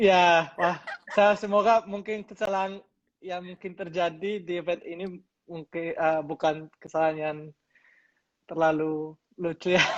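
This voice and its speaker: A man with a high voice talks fairly slowly and keeps his intonation fairly even. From Colombia. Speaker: crypto company business developer. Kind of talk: interview. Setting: livestream. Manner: halting, many fillers.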